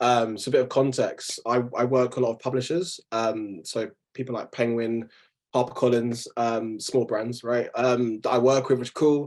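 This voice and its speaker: A man with a London accent at a medium pitch and a moderate pace, his intonation fairly even. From south London. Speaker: freelance graphic designer. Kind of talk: casual webinar talk. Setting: video call. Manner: relaxed, many fillers.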